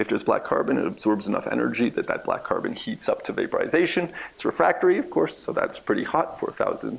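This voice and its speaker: A man talks very fast as noticeable background noise runs underneath. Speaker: research scientist. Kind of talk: lecture. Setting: seminar room with audience.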